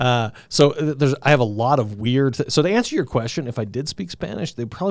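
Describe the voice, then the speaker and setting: A man with an American accent at a fairly quick pace, in a very clean recording with a silent background. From Southern Colorado. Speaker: podcast host. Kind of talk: casual interview chat. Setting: podcast recording. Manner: halting, many false starts.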